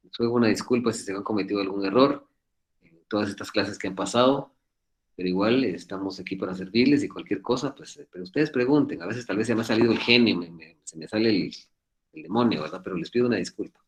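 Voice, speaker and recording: The man's fairly low voice rushes at a very fast pace, with ordinary pitch variation and big swings in loudness. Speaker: law professor. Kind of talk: lecture. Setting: video call.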